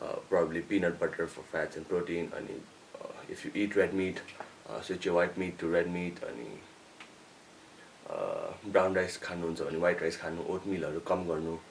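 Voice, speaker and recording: A man at a moderate pace with noticeable background noise. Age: 20s. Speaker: fitness youtuber. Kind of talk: Q&A video. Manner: code-switching.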